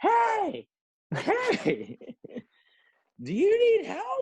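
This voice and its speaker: In a put-on character voice with a New York accent, someone shouts loudly in an extremely high, squeaky pitch. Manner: loud, yelling.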